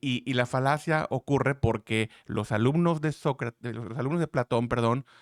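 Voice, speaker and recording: Recorded dry and close with no echo, a man talks at a medium pitch with fairly even intonation. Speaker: trading analyst YouTuber. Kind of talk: market analysis tutorial. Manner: fast; loud.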